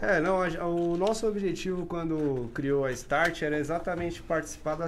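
There is audible room echo, and the speech runs with hardly any pauses. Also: man. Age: 30s. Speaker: podcast host. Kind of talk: casual chat.

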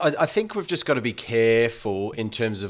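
A man is talking. He has an Australian accent. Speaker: sports podcast co-host, English teacher. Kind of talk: casual sports analysis chat.

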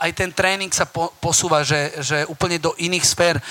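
A man with a high pitch speaks at a fairly slow pace in a raised, projected voice. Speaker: personal trainer. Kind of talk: live talk to audience. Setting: stage with audience. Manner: loud.

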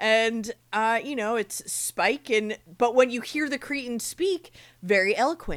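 Over a very clean recording with a silent background, a woman with a plain, everyday voice and an American accent speaks at a fairly high pitch with lively intonation. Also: fairly slow pace. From New Jersey, Monmouth County. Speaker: podcast co-host. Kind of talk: casual chat.

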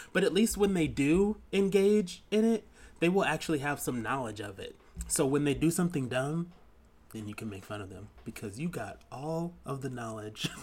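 Somewhat breathy and playful in tone, a man speaks at a fairly high pitch with very wide pitch swings and big swings in loudness. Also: moderate pace. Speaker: podcast co-host. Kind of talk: casual chat. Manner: giggly, playful.

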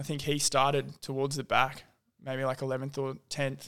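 This man has a fairly high voice and an Australian accent, speaking at a moderate pace. The recording is very clean, with a silent background. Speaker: podcast host. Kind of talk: casual chat.

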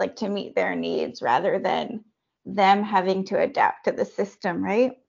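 A woman with a Canadian accent talks at a fairly slow pace in a medium pitch, an unremarkable speaking voice. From Canada, Anishinaabe community. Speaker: medical doctor. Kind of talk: interview.

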